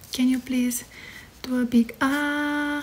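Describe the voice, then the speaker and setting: A soft-spoken woman with a high pitch and fairly even intonation, over light background noise. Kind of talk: soft role-play exam talk. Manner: soft, hushed ASMR nurse voice. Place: home room. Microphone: phone near.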